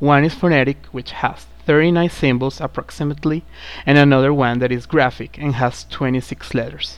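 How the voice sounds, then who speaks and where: A moderate pace in a Spanish accent. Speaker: student presenter of a pronunciation program. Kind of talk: scripted lesson narration.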